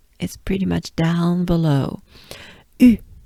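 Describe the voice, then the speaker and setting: Dry and close with no echo, a woman speaks in a French accent with a dark, mellow tone, a somewhat breathy quality, and ordinary pitch variation. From France. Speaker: pronunciation teacher. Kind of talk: tutorial. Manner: slow.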